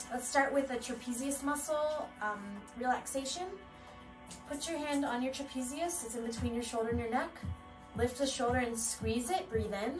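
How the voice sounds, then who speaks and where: A woman with a high voice talks at a moderate pace with ordinary pitch variation while clear music plays in the background. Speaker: exercise instructor. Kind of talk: tutorial. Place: home room. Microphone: camera far.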